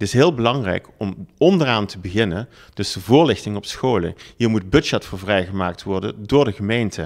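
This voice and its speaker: A plain, everyday voice speaks at a moderate pace with ordinary pitch variation and big swings in loudness, in a very clean recording with a silent background. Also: man, fairly low pitch for a man. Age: 50s. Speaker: local politician and business owner. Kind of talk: political campaign pitch.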